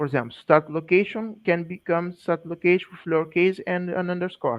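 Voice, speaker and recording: The speaker talks at a fairly quick pace. There is a non-native accent. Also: man. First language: not English. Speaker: GIS specialist presenter. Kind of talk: technical presentation. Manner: halting.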